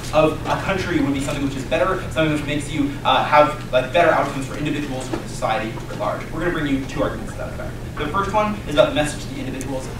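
A man talks at a very fast pace with hardly any pauses. Noticeable background noise and audible room echo surround him. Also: ordinary pitch variation. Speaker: speaker. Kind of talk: competitive debate speech. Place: classroom.

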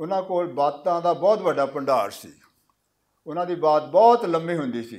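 In a fairly high pitch, a man talks at a very slow pace with ordinary pitch variation and big swings in loudness against a quiet background. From Punjab, India (Hoshiarpur district, Doaba); Punjab, India. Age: 70s. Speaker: writer. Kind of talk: interview. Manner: halting. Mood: calm, warm. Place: hall. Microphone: podium.

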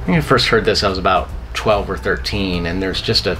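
With music in the background, a man with a very deep, low voice speaks at a moderate pace using lively intonation. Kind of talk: interview answer. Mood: enthusiastic, fond. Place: home room. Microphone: camera far.

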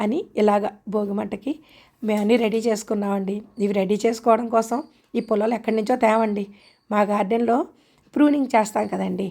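This woman's voice sits at a fairly high pitch with a dark, mellow tone. Her intonation stays fairly even. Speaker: gardening vlogger. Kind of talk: vlog narration.

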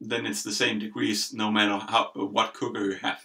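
Against a quiet background, a man with a fairly low pitch speaks in a bright, sharp tone marked by vocal fry. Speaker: home cook host. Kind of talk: tutorial. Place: kitchen.

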